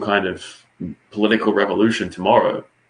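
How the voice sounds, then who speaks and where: With an Australian accent, a man speaks at a moderate pace and medium pitch, his intonation fairly even. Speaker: political commentator. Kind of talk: casual political discussion. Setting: livestream.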